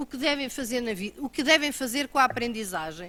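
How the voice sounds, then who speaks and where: A woman speaks in a raised, projected voice, her high pitch and bright, sharp tone carried by lively intonation on a very clean recording with a silent background. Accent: European Portuguese. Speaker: government road-safety official. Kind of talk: conference talk. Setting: auditorium.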